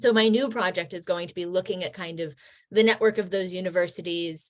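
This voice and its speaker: The speaker has an American accent. It is a normal speaking voice. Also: woman. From United States. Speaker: history professor. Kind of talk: video call presentation.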